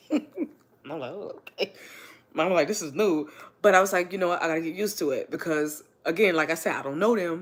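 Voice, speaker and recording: A woman with a fairly low pitch talks at a fairly quick pace with ordinary pitch variation. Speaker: livestreamer and student. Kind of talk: casual livestream chat. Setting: livestream at home on couch.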